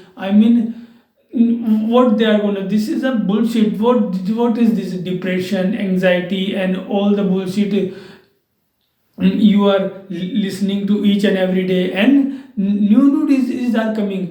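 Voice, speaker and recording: A man talks at a fairly slow pace in a high pitch, with fairly even intonation. Audible room echo surrounds his voice. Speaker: English teacher. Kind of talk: tutorial. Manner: halting.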